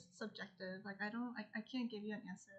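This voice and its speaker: Quiet, mumbling speech comes through with ordinary pitch variation. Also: woman. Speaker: livestreamer and artist. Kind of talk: casual livestream chat while drawing. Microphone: poor audio, old mic.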